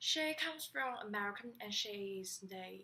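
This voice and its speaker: Speaking with a Chinese accent, a woman talks at a fairly high pitch and fairly slow pace with lively intonation. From China. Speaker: student. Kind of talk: class presentation. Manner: halting.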